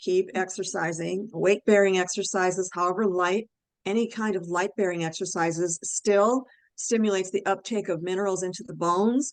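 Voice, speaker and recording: An unremarkable speaking voice at a moderate pace, with fairly even intonation. The background is quiet. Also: woman. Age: 60s. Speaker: health and nutrition expert. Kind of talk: expert interview on a webinar call. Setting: online group call.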